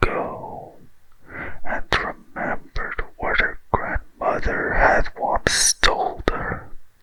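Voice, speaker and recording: Noticeable background noise sits under a whisper delivered at a very slow pace. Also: man. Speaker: ASMR storyteller. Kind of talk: bedtime story reading. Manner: slow, soft-spoken.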